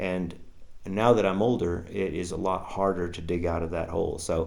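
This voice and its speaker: A man's very deep, low voice at a fairly slow pace, with audible room echo. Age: 60s. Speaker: ultrarunner vlogger. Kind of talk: vlog update. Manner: halting, many fillers.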